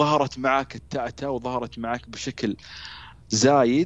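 A man speaks at a medium pitch. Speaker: stuttering awareness activist. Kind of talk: interview. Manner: halting.

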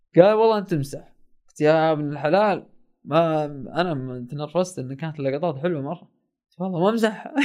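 A man with an ordinary speaking voice talks at a moderate pace, his fairly high pitch moving with ordinary variation. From Saudi Arabia, Asir region (mountain village). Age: 20s. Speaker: documentary filmmaker. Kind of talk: casual storytelling.

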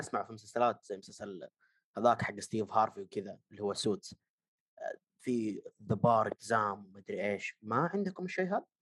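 Very wide swings mark the pitch. No echo is heard, and the sound is dry and close. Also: man. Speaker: podcast co-host. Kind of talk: casual chat.

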